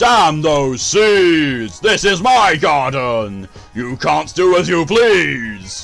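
A man talks in a put-on character voice at a very slow pace, with very wide pitch swings. Faint music plays in the background. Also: fairly high pitch for a man. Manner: ridiculous, over the top.

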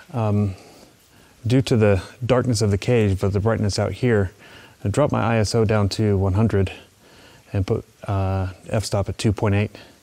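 Fairly even intonation from a man, delivered at a moderate pace. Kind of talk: tutorial. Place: tunnel cave.

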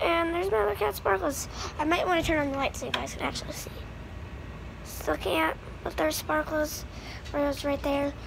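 Fairly quick in pace, a woman's speech comes through noticeable background noise. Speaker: pet owner vlogger. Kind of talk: casual vlog chat. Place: home room. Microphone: phone near.

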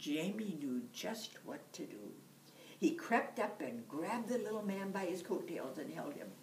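The intonation is lively as the speaker reads aloud in a natural voice.

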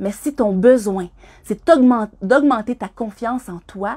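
A woman speaks in a Quebec accent with ordinary pitch variation and a dark, mellow, somewhat breathy tone. The background is quiet. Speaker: skydiving instructor. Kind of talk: reading aloud. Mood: warm, encouraging. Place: home room. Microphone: phone near.

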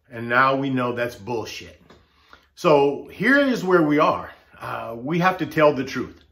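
With an American accent, a man talks at a fairly slow pace using lively intonation. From United States. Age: 60s. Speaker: political commentator vlogger. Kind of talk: opinion monologue. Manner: impassioned. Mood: earnest, frustrated. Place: home room. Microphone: webcam.

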